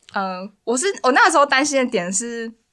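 With lively intonation and a bright, sharp tone, a woman talks. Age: 20s. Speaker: university student. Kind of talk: casual chat.

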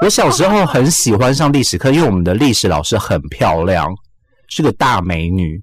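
A man's fairly low voice at a fairly quick pace, with very wide pitch swings. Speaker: radio host. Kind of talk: casual chat.

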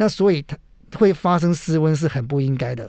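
A man with a fairly high pitch and an unremarkable speaking voice uses lively intonation. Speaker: emergency physician and mountain medicine doctor. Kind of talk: radio interview. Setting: radio studio.

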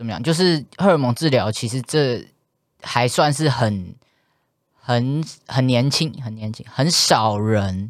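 Over a silent background in a very clean recording, a man speaks very slowly at a medium pitch with lively intonation. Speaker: transgender podcast co-host. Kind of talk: casual chat. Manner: animated.

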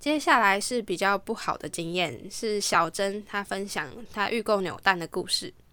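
A woman speaks at a moderate pace with lively intonation and a bright, sharp tone. The recording is very clean, with a silent background. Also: medium pitch for a woman. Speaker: podcast host and home organizing consultant. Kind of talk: scripted narration reading listener stories. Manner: languid, lazier-sounding than usual.

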